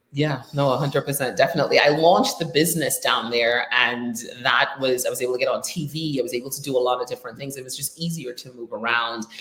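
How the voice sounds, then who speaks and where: A woman with a Trinidadian accent, very deep and low in pitch, talking very fast with hardly any pauses and big swings in loudness over noticeable background noise. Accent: Trinidadian, noticeable in the US. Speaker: digital marketing business owner, show host. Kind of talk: casual interview chat. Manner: lively, laughs a lot.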